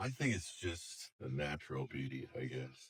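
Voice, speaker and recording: A man's very deep, low voice with vocal fry and lively intonation. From US West Coast, Sausalito, California. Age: 60s. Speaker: longtime local resident. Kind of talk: oral history interview. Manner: halting, with self-corrections and fillers.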